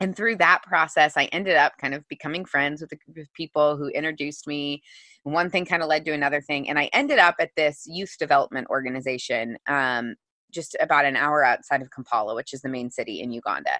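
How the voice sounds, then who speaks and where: In an American accent, a woman with a very deep, low pitch and a bright, sharp tone speaks at a very fast pace with ordinary pitch variation, the sound dry and close with no echo and the background quiet. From US Midwest, Missouri. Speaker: author and entrepreneur. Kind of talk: interview.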